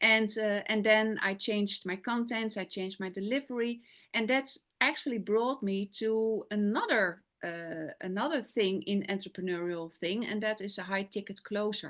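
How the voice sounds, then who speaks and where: Keeping a moderate pace, a woman speaks with hardly any pauses. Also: quiet background. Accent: Dutch. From Netherlands. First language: Dutch. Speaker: business coach and sales closer. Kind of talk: interview. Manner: halting.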